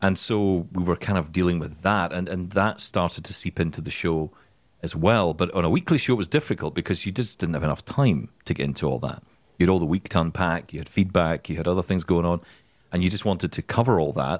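Over a very clean recording with a silent background, a man with a Scottish accent talks at a very fast pace in a very deep, low pitch with ordinary pitch variation. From Scotland. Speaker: podcast host, former radio presenter. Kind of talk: casual chat.

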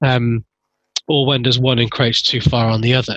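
With an English accent, a medium-pitched man speaks in a bright, sharp tone and flat, monotone intonation, the sound dry and close with no echo. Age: middle-aged. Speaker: podcast host. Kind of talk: interview conversation. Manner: halting.

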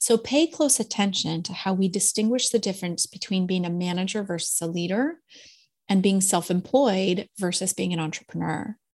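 Somewhat breathy, a woman speaks at a medium pitch with ordinary pitch variation on a very clean recording with a silent background. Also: moderate pace. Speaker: podcast host and executive coach. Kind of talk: casual interview chat.

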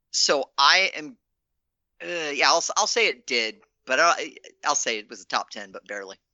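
A man with an American accent speaks at a moderate pace in a fairly high voice with vocal fry and long, frequent pauses. His pitch swings very widely, and his loudness swings a lot too. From Virginia, US. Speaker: trivia contestant. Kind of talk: casual chat, quiz answering. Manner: halting, repeats words.

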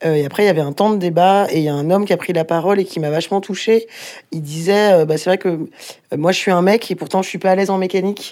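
A woman talks very fast at a medium pitch. Her intonation stays fairly even. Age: 30s. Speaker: volunteer bike repair workshop organizer. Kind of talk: casual interview and workshop tour.

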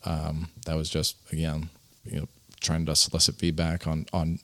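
With an American accent, a man talks in a very deep, low voice against a silent background on a very clean recording. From Elkhart, Indiana. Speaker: RV company co-founder. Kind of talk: casual interview.

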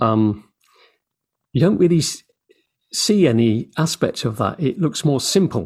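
A man speaks at a fairly slow pace in a fairly high, somewhat breathy voice. His pitch swings very widely. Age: 60s. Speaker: interviewer. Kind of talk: casual interview conversation.

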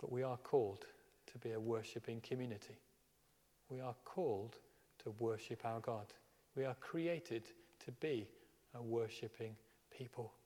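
The voice has a dark, mellow tone and is somewhat breathy, keeping a moderate pace with ordinary pitch variation and long, frequent pauses. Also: man, medium pitch for a man. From Birmingham, England. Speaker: minister. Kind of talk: sermon. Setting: church.

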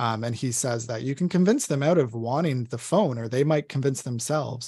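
A man talks at a fairly quick pace in a somewhat breathy, medium-pitched voice. The recording is very clean, with a silent background. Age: 30s. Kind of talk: podcast interview.

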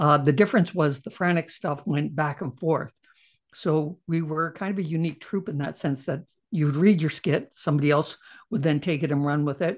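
A man with a Canadian accent has a plain, everyday voice and a fairly high pitch with ordinary pitch variation. He speaks at a moderate pace against a quiet background. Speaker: comedian and TV writer-producer. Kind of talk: interview.

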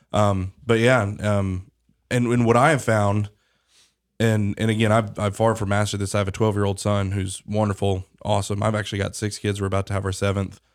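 On a very clean recording with a silent background, a man with a fairly low pitch talks at a fairly quick pace in a monotone, flat intonation. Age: 30s. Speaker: podcast host and news CEO. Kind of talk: interview podcast host; promotional announcement. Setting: studio.

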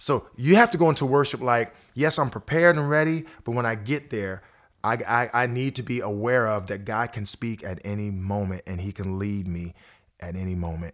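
With an American accent and an unremarkable speaking voice, a man speaks at medium pitch and a moderate pace, his intonation lively, on a very clean recording with a silent background. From Ohio, US Midwest. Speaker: worship pastor. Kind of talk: casual interview. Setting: studio.

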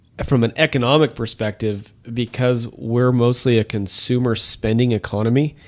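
A man talks at a medium pitch and a moderate pace. He has an unremarkable speaking voice. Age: 40s. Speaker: financial advisor. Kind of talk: casual chat.

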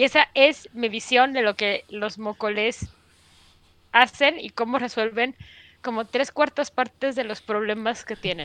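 A woman's fairly high, bright and sharp voice with a Mexican accent, ordinary pitch variation, a fairly slow pace, and a dry, close sound with no echo. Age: 40s. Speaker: podcast host. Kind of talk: casual chat.

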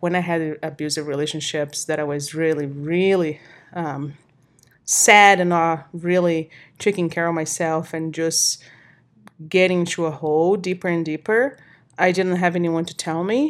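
A woman with a Portuguese accent, fairly low in pitch, at a moderate pace with fairly even intonation, on a very clean recording against a silent background. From Brazil. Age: 30s. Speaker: personal trainer and coach. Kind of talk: casual chat. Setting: home recording. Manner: halting, with many fillers.

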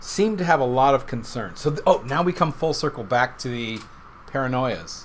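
An ordinary speaking voice with lively intonation. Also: man, medium pitch for a man, moderate pace. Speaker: whiskey podcast host. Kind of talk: casual chat.

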